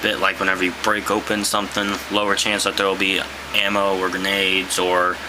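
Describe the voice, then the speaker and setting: Over noticeable background noise and audible room echo, a man speaks at a moderate pace in a fairly low voice. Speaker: gaming YouTuber. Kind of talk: casual monologue. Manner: hesitant, many fillers.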